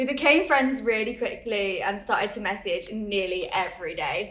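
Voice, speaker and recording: Audible room echo hangs around a woman with an Essex accent. She speaks at a moderate pace. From Essex, England. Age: 20s. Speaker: interviewee. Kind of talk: testimony.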